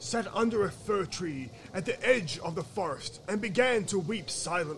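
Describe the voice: This plain reading aloud has lively intonation.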